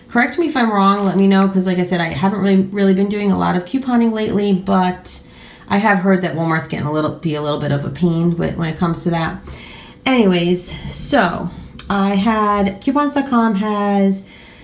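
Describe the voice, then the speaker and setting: With audible room echo and noticeable background noise, a woman speaks at a fairly quick pace in a medium pitch, using ordinary pitch variation. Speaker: YouTuber doing a grocery haul. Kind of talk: casual haul vlog. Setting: at home at a table. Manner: fast.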